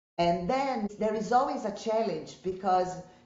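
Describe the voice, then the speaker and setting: A woman talks at a fairly slow pace with lively intonation. Room echo is audible. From Brazil. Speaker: statistician, former lecturer. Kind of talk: interview.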